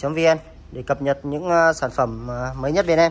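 A man talks at a moderate pace with a fairly high pitch. His tone is fairly bright, and his intonation stays fairly even.

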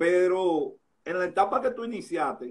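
The background is quiet. A man speaks in a high pitch. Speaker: sports interviewer host. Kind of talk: live interview chat. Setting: Instagram live, remote. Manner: casual, jokey, chatty. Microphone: phone near.

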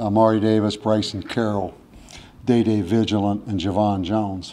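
The speaker is a man with a fairly low pitch. A dark, mellow tone colors his voice. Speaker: head football coach. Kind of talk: press conference answer. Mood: subdued after a loss. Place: hall. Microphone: podium.

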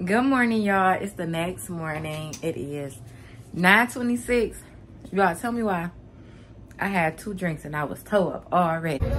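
Speaking at a fairly slow pace, a woman with a fairly low pitch and fairly bright tone uses lively intonation over faint background noise.

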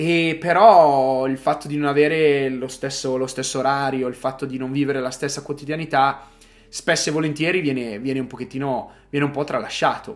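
With fairly even intonation, the speech proceeds at a moderate tempo. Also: man, fairly high pitch for a man. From northern Italy, Arluno near Milan; northern Italy. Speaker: vlogger; vlogger living abroad. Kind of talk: personal monologue. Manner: halting, repeats words. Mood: reflective, emotional. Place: home room. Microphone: phone near.

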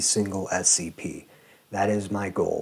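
A man speaks at a fairly low pitch. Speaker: video creator. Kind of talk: channel announcement to camera. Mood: sincere, grateful. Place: home room. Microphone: lapel.

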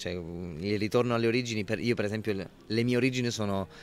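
Over light background noise with dry sound and no echo, a man speaks at a fairly low pitch with ordinary pitch variation. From Italy, Abruzzo (Pescara); Abruzzo, Italy. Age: 20s. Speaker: actor. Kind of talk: interview. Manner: halting, many repetitions. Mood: relaxed, smiling, reflective. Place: hall. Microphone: handheld.

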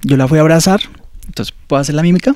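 A man speaks in a dark, mellow tone with ordinary pitch variation. The sound is dry with no echo, against a quiet background. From Colombia, Ibagué. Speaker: seminarian. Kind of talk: testimony. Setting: studio. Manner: halting. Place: office. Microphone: handheld.

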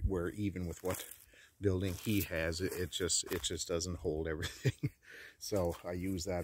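At a moderate pace, a man speaks in a very deep, low voice that is somewhat breathy, with fairly even intonation and a dry sound with no echo. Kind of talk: casual vlog chat. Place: open country. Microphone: phone near.

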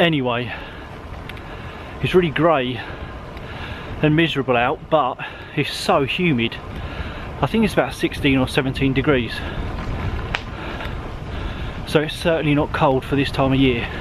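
Over noticeable background noise, a man talks at a moderate pace with long, frequent pauses. His pitch varies in an ordinary way, and the sound is dry with no echo. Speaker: cycling vlogger. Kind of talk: casual vlog chat. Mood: cheerful, content. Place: bicycle. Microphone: phone near.

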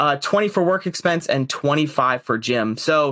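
The speaker talks at a fairly slow pace over a quiet background. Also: man. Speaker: guest asking for financial advice. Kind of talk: casual interview chat. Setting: call. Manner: hesitant, many fillers. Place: home room. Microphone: earbuds.

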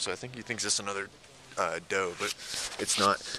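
A man speaks at a moderate pace with a bright, sharp tone. His pitch sits fairly low.

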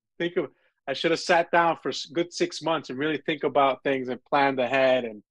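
With a New York accent, a man speaks in a dry sound with no echo against a quiet background. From New York (Brooklyn, Coney Island). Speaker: filmmaker and film festival founder; guest. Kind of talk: interview and student Q&A; interview answer. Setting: video call. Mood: relaxed, reflective. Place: home room. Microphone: video call.

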